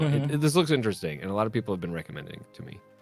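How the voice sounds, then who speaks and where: Lively intonation with music in the background. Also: man. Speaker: podcast guest. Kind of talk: casual podcast talk.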